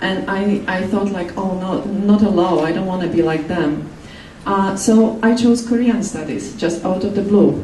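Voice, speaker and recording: A woman with a Polish accent speaks at a moderate pace and a medium pitch, her intonation fairly even, with noticeable background noise and audible room echo. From Poland. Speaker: human rights campaigner. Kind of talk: talk. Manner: halting.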